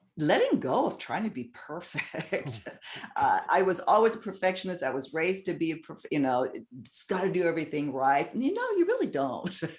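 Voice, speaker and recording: There is noticeable background noise. Through it, a woman talks at a fairly quick pace. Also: medium pitch for a woman, lively intonation. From Southern California. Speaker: YouTube show host and producer. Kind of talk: interview conversation.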